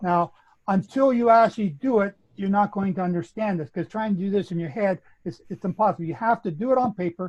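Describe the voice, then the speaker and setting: Someone with a Canadian accent speaks at a fairly quick pace with ordinary pitch variation. The sound is dry and close, with no echo. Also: man. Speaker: Bible prophecy teacher. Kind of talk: online panel discussion, explanatory teaching.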